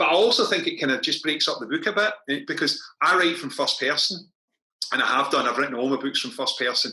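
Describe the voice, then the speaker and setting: Fairly quick speech with a Scottish accent. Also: man. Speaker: crime novelist. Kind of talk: author interview at book launch. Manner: fast.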